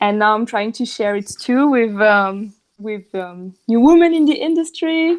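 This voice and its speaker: At a fairly slow pace, the speaker talks with a French accent and very wide pitch swings. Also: woman, fairly high pitch for a woman. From southern France. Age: 30s. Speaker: marketing professional and yoga teacher. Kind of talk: podcast interview. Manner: halting, many fillers.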